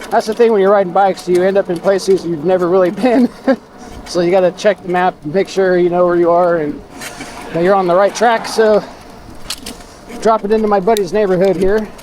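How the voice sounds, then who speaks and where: A man mumbles at a high pitch and fairly quick pace, yet leaves long, frequent pauses. His intonation stays fairly even over noticeable background noise. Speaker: e-bike vlogger. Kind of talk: casual ride vlog narration. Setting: outdoors riding a bike. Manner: mumbling.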